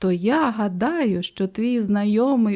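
The voice does plain reading aloud. It is simply a straightforward read.

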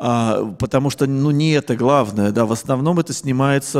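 A man talks fairly slowly, and the background is quiet. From Russia, Saint Petersburg; Russia. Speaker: film scholar and writer. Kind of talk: lecture. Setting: stage with audience. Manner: hesitant fillers, discursive. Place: hall. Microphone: handheld.

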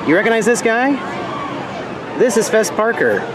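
Crowd noise sits in the background as a man speaks. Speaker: vlogger. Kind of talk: casual vlog chat. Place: waterside. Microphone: phone near.

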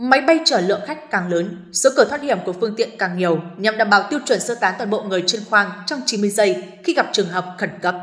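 A woman in a normal speaking voice, medium-pitched, talks at a fairly quick pace with lively intonation and hardly any pauses. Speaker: news presenter. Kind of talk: news reading.

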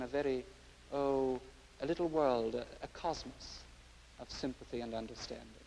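A man with an Irish accent speaks with ordinary pitch variation. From Ireland. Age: young. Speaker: art critic. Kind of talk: educational TV presentation.

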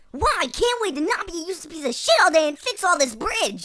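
In a put-on character voice, a woman talks fast at an extremely high pitch with big pitch swings and a fairly bright tone.

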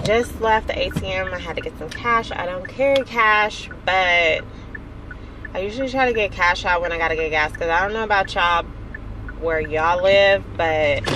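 At a moderate pace, a woman speaks over noticeable background noise. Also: ordinary pitch variation, dry sound with no echo. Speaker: vlogger. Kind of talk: casual vlog chat. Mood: mildly annoyed, venting. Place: car. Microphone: phone near.

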